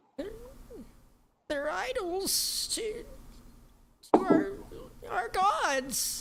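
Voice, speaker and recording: This put-on character voice is extremely high in pitch and moves at a very slow pace, broken by long, frequent pauses. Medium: actual play. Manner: broken grammar, refers to self in third person.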